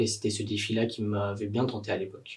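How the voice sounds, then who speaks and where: A somewhat breathy male voice moves along at a fairly quick pace. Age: 20s. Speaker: university student. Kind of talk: testimony. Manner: hesitant, many fillers.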